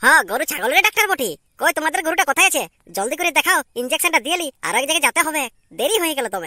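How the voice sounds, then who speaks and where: A cartoonish character voice, high-pitched and very fast. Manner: blunt, impatient.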